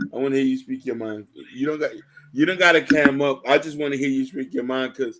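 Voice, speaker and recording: In a fairly high pitch and fairly even intonation, a man talks at a very fast pace. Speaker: live stream host. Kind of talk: casual live chat.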